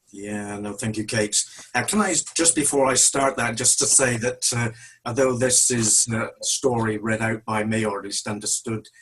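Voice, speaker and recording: Noticeable background noise behind a man's fairly even delivery. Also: medium pitch for a man, moderate pace. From West Country, Devon (Tiverton). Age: 60s. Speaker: church member. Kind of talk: testimony.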